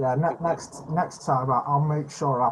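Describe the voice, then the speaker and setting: In a strong British accent, a somewhat breathy man talks at a fairly slow pace with fairly even intonation against a quiet background. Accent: British, self-described as strong. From UK. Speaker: epilepsy channel host. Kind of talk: casual video chat. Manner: stammering, repeats words.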